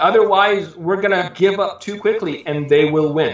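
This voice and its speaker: A man with an American accent talks at a moderate pace in a high pitch. His pitch variation is ordinary, and audible room echo surrounds him. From Southern California. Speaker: preacher. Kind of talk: interview.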